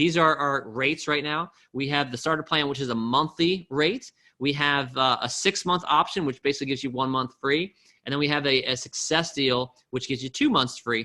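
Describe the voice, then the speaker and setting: A man speaks at a fairly quick pace with a bright, sharp tone. His pitch is fairly high, with fairly even intonation. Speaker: online business coach. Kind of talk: sales pitch. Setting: webinar call. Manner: fast.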